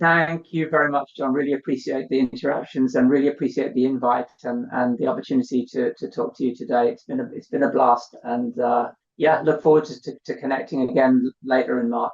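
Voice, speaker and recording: A man speaks at a fairly quick pace. His medium pitch shows ordinary variation. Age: 60s. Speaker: tech company CEO. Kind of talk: podcast interview. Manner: halting, many repetitions.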